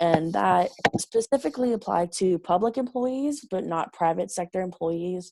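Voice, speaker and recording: A woman's dark, mellow voice of fairly low pitch, with lively intonation at a moderate pace. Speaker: college student presenter. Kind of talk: class group presentation.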